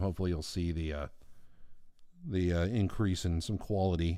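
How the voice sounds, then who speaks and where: The recording is very clean, with a silent background. On it, a man speaks with a very deep, low pitch. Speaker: artist streaming live drawing. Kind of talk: casual live stream chat. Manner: relaxed, filler-heavy. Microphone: new microphone picking up low end.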